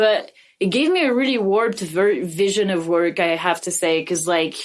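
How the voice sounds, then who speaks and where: A woman speaks with a French accent. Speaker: podcast co-host. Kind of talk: casual chat.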